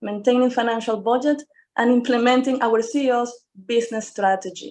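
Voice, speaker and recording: A woman with a Spanish accent speaks high-pitched but with a dark, mellow tone, over a quiet background. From Venezuela. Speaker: engineering firm president. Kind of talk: panel talk.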